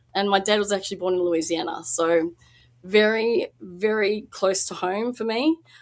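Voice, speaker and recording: Against noticeable background noise, a woman speaks in an Australian accent at a medium pitch with ordinary pitch variation. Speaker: independent researcher. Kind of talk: podcast interview.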